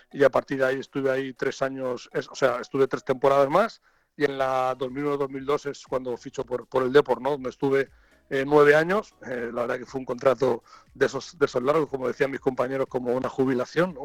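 Recorded dry and close with no echo, a man speaks at medium pitch in a monotone, flat intonation. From Catalonia. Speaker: football coach. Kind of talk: interview. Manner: halting.

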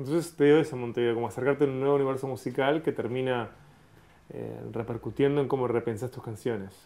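A man talks at a very fast pace and medium pitch. His intonation is fairly even. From Uruguay, Montevideo. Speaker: podcast host, interviewer. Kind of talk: interview.

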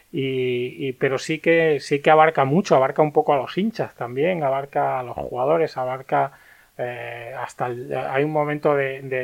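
A man's medium-pitched, ordinary speaking voice with fairly even intonation. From Andalusia, Spain (Martos, Jaén). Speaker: film critic. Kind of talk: casual chat.

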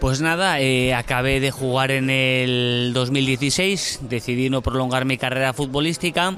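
Amid noticeable background noise, the speech runs fairly slowly with hardly any pauses, very even loudness and fairly even intonation. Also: man, medium pitch for a man. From Spain (Burgos). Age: 30s. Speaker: former footballer, civil servant. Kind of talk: casual interview. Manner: halting, with repetitions.

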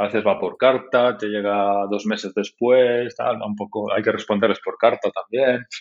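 A man at a moderate pace, with hardly any pauses. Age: 40s. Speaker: tech entrepreneur, website founder. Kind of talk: interview.

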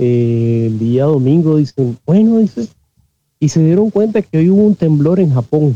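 In a Nicaraguan accent, a man talks at a fairly slow pace in a fairly high voice with very wide pitch swings. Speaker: systems engineer, audience participant. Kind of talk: casual chat. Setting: live online audio room. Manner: halting, repeats words.

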